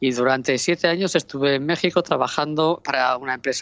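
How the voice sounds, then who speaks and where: Her voice very deep and low, a woman speaks at a moderate pace with ordinary pitch variation. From Asturias, Spain (Oviedo). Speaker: regional trade promotion director. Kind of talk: interview. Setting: remote call.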